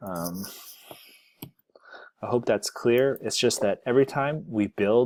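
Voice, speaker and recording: Speaking at a moderate pace, a man has a plain, everyday voice with ordinary pitch variation. The sound is dry and close with no echo, on a very clean recording with a silent background. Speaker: software developer, tech video creator. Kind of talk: screencast tutorial. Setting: screen recording. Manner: casual.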